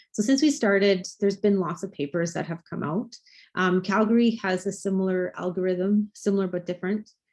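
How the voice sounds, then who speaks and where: A woman with an ordinary speaking voice talks at a medium pitch and a fairly quick pace, with ordinary pitch variation, over a quiet background. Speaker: physician presenting research. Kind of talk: lecture.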